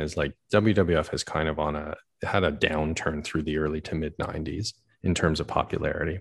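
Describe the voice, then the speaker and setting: A man speaks in a calm tone. The background is quiet. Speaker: podcast host. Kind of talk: casual chat. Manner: calm radio-style delivery.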